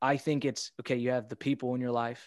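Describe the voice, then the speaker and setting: A man speaks at a fairly quick pace and a medium pitch, recorded with a dry, close sound with no echo against a quiet background. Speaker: podcast host. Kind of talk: interview. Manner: animated.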